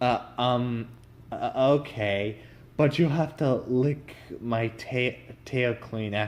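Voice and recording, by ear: This is a natural-sounding read-aloud, its pitch rising and falling in an ordinary way.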